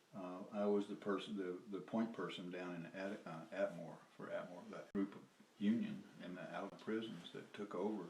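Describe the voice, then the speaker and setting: Fairly low in pitch and fairly even in intonation, a man with a Southern US accent speaks at a moderate pace. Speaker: former lawyer and activist. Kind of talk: casual storytelling interview. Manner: halting, with many fillers and restarts.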